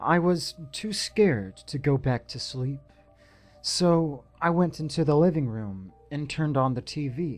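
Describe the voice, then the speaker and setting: Music plays in the background as a man speaks at a fairly slow pace. His pitch is fairly high, and his intonation is lively. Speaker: narrator of horror stories. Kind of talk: horror story narration (creepypasta reading).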